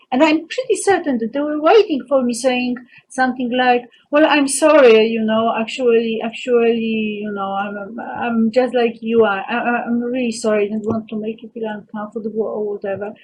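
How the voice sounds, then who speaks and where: A woman speaks at a fairly high pitch, her loudness swinging widely. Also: ordinary pitch variation, moderate pace. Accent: Polish. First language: Polish. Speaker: vlogger. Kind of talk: personal monologue. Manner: halting.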